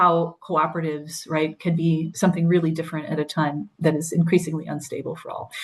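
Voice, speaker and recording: A woman's fairly low voice with an American accent. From US Midwest, Wisconsin. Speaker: cooperative movement speaker. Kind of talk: webinar presentation. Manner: fast.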